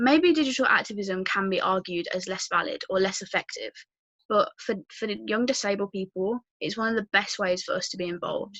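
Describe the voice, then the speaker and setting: A woman with a Birmingham accent talks at a fairly quick pace, her medium pitch showing ordinary variation. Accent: Birmingham (Brummie). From English Midlands, Birmingham. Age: 19. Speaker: youth activist and university student. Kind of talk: prepared talk.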